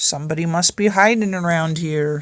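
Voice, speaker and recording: A put-on character voice at middle pitch delivers the lines at a moderate pace. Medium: read story.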